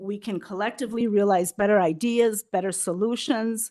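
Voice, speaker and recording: An unremarkable speaking voice: a woman with an American accent, medium pitch, ordinary pitch variation and a moderate pace, recorded against a quiet background. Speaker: prevention council representative. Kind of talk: public presentation at county board meeting.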